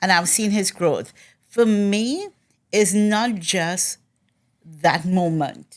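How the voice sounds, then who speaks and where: A woman talks at a very slow pace in a medium-pitched voice with ordinary pitch variation. The recording is very clean, with a silent background. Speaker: community event host. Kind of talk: casual interview.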